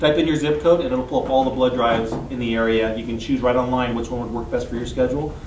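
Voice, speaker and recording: Noticeable background noise and audible room echo are present. A man speaks at medium pitch with fairly even intonation. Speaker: blood service representative. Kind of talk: interview. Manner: fast; hesitant with fillers.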